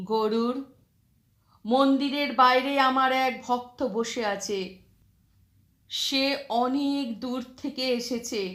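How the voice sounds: Using a put-on character voice, a woman speaks very slowly at a high pitch in a fairly bright tone with ordinary pitch variation.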